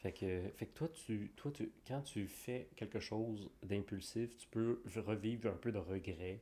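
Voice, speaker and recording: A man with a fairly low pitch and a dark, mellow tone speaks at a very slow pace. He shows ordinary pitch variation and hardly any pauses. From Quebec. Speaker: podcast co-host. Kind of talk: casual chat.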